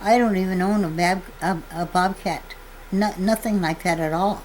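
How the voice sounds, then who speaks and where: A woman with an Upper Midwest accent and fairly even intonation, over noticeable background noise. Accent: Upper Midwest rural American. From North Dakota. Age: 80s+. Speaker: farmer. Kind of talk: testimony. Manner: halting.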